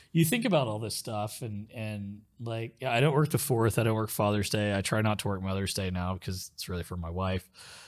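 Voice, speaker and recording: A man with an American accent speaks at a fairly quick pace with hardly any pauses, his fairly low pitch moving with ordinary variation in a plain, everyday voice, on a very clean recording with a silent background. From Oklahoma (Muskogee, rural). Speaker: private club CEO. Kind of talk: casual chat. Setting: studio.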